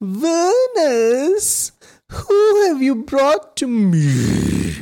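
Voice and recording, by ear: At a very slow pace, someone performs in a put-on character voice. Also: man, extremely high pitch for a man.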